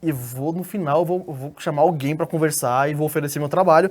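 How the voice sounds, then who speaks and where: A man's fairly high voice at a very fast pace, with ordinary pitch variation, on a very clean recording with a silent background. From Brazil, Espírito Santo. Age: 20s. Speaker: graphic designer. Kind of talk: interview. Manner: casual, with frequent fillers and repetitions.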